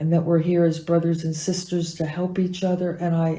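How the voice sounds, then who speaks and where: Her voice is fairly low for a woman, somewhat breathy and dark and mellow in tone, with monotone, flat intonation. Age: 70s. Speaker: acupuncturist and teacher. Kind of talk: interview answers.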